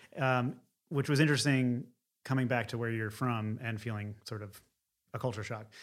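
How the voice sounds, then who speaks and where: In a very clean recording with a silent background, a man with an American accent and an ordinary speaking voice talks at a moderate pace and medium pitch with fairly even intonation. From Philadelphia area, US. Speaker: painter. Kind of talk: interview.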